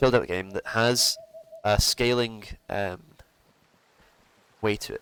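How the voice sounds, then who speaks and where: A man's relaxed voice with a Scottish accent, in a dry, close sound with no echo. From Scotland. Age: 20s. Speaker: gaming streamer. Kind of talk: gameplay commentary. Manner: casual, relaxed.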